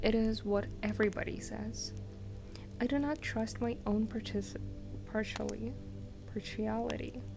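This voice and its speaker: A woman whispers, soft-spoken, at a fairly slow pace with long, frequent pauses. Music plays in the background. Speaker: ASMR streamer / virtual streamer. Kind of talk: soft-spoken ASMR book reading for sleep. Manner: soft-spoken, whispery.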